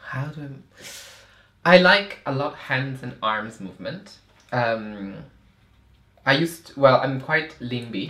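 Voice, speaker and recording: A man at a medium pitch uses lively intonation and big swings in loudness. Long, frequent pauses break his speech over noticeable background noise. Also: fairly slow pace. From Italy, Milan. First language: Italian. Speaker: performance artist. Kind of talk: casual interview.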